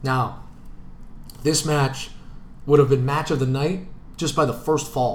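A man's animated, somewhat breathy voice at a fairly slow pace, with long, frequent pauses and audible room echo. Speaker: sports podcast co-host. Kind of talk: casual chat.

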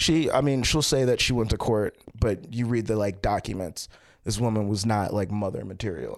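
A man speaks at a moderate pace with a fairly low pitch. His pitch varies in an ordinary way, and it is a normal speaking voice. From Baltimore, Maryland, US. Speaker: comedian. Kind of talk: casual interview chat.

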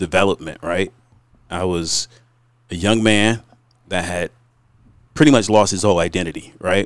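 Speaking at a fairly slow pace, the man has a fairly low pitch. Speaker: business owner. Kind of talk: casual chat.

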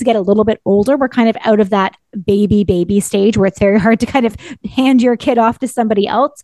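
A woman talks at a very fast pace with a Canadian accent, her sound dry and close with no echo. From Ontario, Canada. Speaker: parenting podcast co-host. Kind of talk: casual chat.

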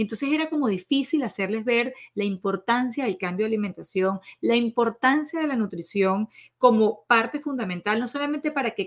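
A woman's fairly high, lively voice at a fairly quick pace, with a dry, close sound and no echo. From Venezuela. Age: 40s. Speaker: nutritionist podcast host. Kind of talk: podcast monologue.

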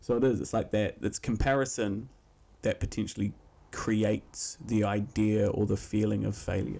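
At a moderate pace, a man speaks at a fairly low pitch in a dark, mellow tone with vocal fry and fairly even intonation, on a very clean recording with a silent background. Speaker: podcast co-host. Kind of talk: casual chat.

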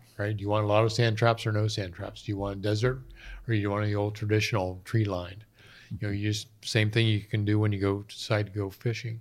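Speaking at a fairly quick pace with monotone, flat intonation, a man with an American accent is heard in a very clean recording with a silent background. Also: fairly low pitch for a man. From north central Pennsylvania. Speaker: conservation volunteer. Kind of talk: casual interview.

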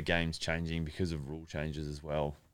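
The pace stays moderate. The voice comes in an Australian accent. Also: man. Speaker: college punter, former pro footballer. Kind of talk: casual interview chat.

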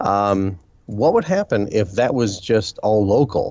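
Speaking at a fairly slow pace, a man with an unremarkable speaking voice keeps a fairly low pitch. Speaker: co-host, writer on skepticism. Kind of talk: casual chat.

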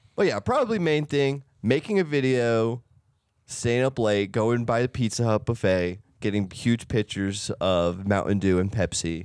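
In an unremarkable speaking voice, the speaker moves at a moderate pace with lively intonation against a quiet background. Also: man, medium pitch for a man. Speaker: podcast co-host. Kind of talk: casual chat.

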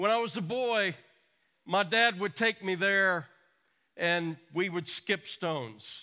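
In a very clean recording with a silent background, a man uses a raised, projected voice, high in pitch and bright, sharp in tone, with ordinary pitch variation, a very slow pace and long, frequent pauses. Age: 60s. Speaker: pastor. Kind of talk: sermon.

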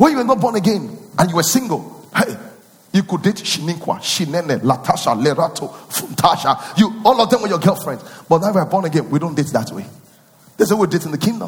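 Here a man talks at a fairly quick pace in a high pitch. His tone is animated and his intonation lively. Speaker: pastor. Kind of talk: sermon. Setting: church.

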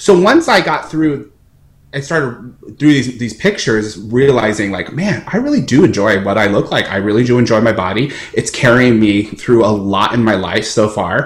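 Speaking in an American accent, a man with a somewhat breathy, medium-pitched voice keeps ordinary pitch variation at a moderate pace. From American Samoa. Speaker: opera singer. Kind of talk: interview. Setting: video call. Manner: halting.

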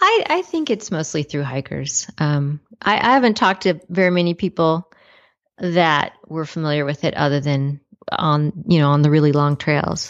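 Her pitch sits very deep and low, and this woman shows ordinary pitch variation. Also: moderate pace. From California, Los Angeles area. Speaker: cartoonist and hiker. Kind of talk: interview.

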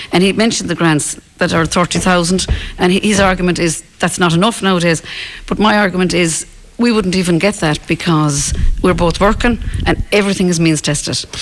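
In an Irish accent, a woman talks at a fairly quick pace with fairly low pitch and fairly even intonation. Her loudness stays very even over noticeable background noise. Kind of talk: radio interview on current affairs. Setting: live outside broadcast with local audience.

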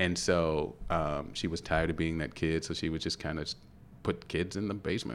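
With vocal fry and a very deep, low pitch, a man talks at a fairly quick pace and with fairly even intonation. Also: very clean recording, silent background. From Louisville, Kentucky. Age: 50s. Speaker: actor, guest.

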